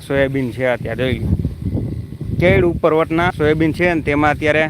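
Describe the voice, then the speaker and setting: Over noticeable background noise, the voice holds a very even loudness with ordinary pitch variation. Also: man. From Saurashtra, Gujarat (Dhoraji taluka). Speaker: farmer vlogger. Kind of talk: live farm vlog. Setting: outdoors in a soybean field.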